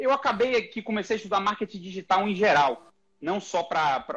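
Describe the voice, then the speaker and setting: The speaker is a man with a high voice. His intonation is lively. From Brazil, Bahia (Salvador). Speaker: neurosurgeon. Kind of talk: podcast interview.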